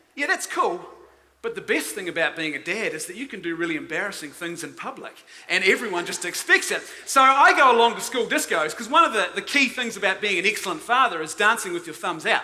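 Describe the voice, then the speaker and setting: In a New Zealand accent, a man speaks in a raised, projected voice at a high pitch and a very fast pace, sounding animated. His pitch swings very widely and his loudness varies greatly, with noticeable background noise behind him. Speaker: conference speaker. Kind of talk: conference talk.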